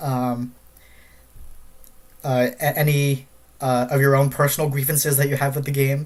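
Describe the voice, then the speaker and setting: A man's fairly high, somewhat breathy voice at a moderate pace with fairly even intonation. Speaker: gaming streamer. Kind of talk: casual live stream chat. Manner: halting, many fillers and repetitions.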